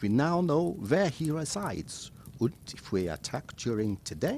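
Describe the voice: A man puts on a character voice pitched fairly high, speaking at a fairly slow pace with vocal fry, big pitch swings and a slightly mellow tone.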